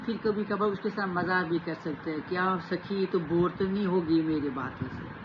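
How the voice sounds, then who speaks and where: A woman speaks at a medium pitch with ordinary pitch variation. Background noise is noticeable. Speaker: self-help vlogger. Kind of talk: motivational talk to camera.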